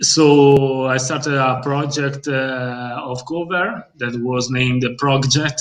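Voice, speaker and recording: A man with an Italian accent talks at a medium pitch and a very slow pace. His intonation is fairly even, and he hardly pauses at all. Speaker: bassist in a metal band. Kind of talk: casual interview chat. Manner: halting, many fillers.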